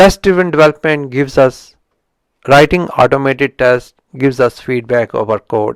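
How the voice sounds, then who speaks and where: The speaker talks at a fairly slow pace in a strong Indian accent, with ordinary pitch variation. The sound is dry and close, with no echo. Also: man. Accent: heavy Indian accent in English. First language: Indian language. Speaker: software engineering YouTuber. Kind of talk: book review talk. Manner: halting, with frequent restarts.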